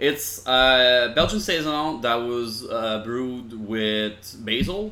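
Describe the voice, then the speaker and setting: Speaking with a Quebec accent, a man has a medium pitch and ordinary pitch variation. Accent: Québécois French. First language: French. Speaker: podcast host. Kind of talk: casual chat.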